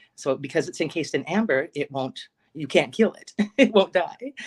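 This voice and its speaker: With an American accent, a woman speaks in a plain, everyday voice at a fairly quick pace, her intonation lively. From Alaska. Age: 50s. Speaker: psychic medium. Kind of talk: interview testimony.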